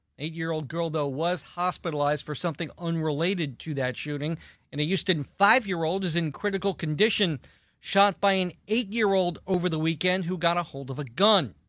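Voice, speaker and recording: High-pitched for a man, his voice moves at a fairly quick pace with ordinary pitch variation on a very clean recording with a silent background. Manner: formal, measured and authoritative, with clear headline emphasis.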